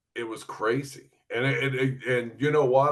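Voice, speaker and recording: A man is talking with a southern Ohio accent. His pitch sits in the medium range. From southern Ohio, US. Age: 60s. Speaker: retired sports reporter and broadcaster. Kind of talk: interview. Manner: laid back.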